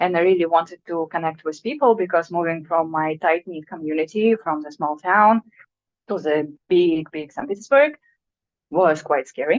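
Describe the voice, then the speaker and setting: The speaker has a Russian accent and talks at a moderate pace. Pitch variation is ordinary. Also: woman, fairly low pitch for a woman. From Russia (Sakhalin Island). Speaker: artist. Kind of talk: artist talk. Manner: halting.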